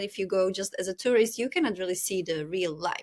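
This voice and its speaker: A woman with a strong European accent, moderate pace and ordinary pitch variation, amid noticeable background noise. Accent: thick European. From Czech Republic. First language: Czech. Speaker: podcast host. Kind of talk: podcast interview.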